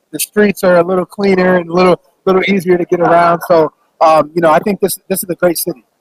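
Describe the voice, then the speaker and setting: In a dry, close recording with no echo, a man speaks very fast at a high pitch with monotone, flat intonation. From Phoenix, Arizona. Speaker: former football player and author. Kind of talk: interview. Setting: radio row at event.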